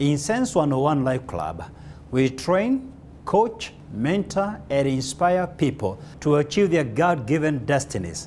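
With light background noise, a man speaks fairly slowly at a fairly high pitch, making very wide pitch swings. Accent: Kenyan. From Kenya. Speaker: motivational speaker. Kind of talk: motivational speech.

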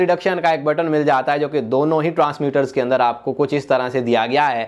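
With a quiet background behind him, a man talks at moderate speed. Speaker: tech reviewer. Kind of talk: product review. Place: studio. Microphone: lapel.

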